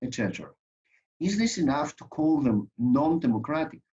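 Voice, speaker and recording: A man speaks with a Greek accent at a moderate pace. His intonation is lively. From Greece. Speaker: lawyer and conference speaker. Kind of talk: conference presentation. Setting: online conference.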